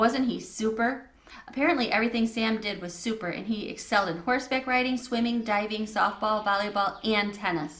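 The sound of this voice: Unforced reading voice, fairly even intonation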